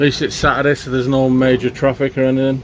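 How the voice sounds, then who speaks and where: A man speaks very fast as noticeable background noise carries on around him. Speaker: allotment gardening vlogger. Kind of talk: casual vlog narration. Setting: outdoors at allotment. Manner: loud.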